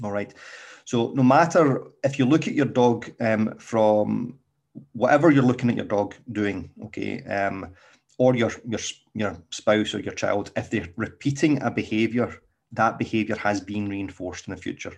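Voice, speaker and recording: A man with a Scottish accent speaks against a quiet background. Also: medium pitch for a man, ordinary pitch variation, moderate pace. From Scotland. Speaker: dog trainer. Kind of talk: solo podcast talk. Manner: casual, with many fillers.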